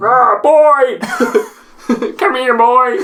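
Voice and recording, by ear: A man does a put-on character voice at an extremely high pitch.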